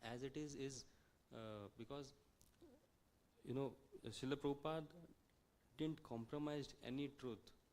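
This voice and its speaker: Speaking with a non-native accent, a man with a fairly high pitch goes at a fairly slow pace with fairly even intonation and long, frequent pauses. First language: not English. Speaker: visiting speaker at a temple. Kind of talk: religious talk. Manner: halting, many fillers.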